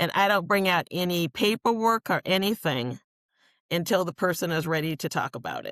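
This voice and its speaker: In a very clean recording with a silent background, a woman with an American accent sounds animated at a fairly low pitch, dry and close with no echo. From Riverside, California. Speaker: home care professional. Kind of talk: interview.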